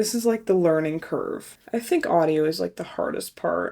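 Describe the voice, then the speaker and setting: A woman with an American accent at a moderate pace, on a very clean recording with a silent background. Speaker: travel vlogger. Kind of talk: casual vlog. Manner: casual, lots of filler words.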